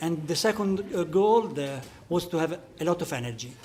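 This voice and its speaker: This speaker has an Italian accent and talks at a fairly slow pace with ordinary pitch variation. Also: man. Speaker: sports physician. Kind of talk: panel discussion. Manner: halting.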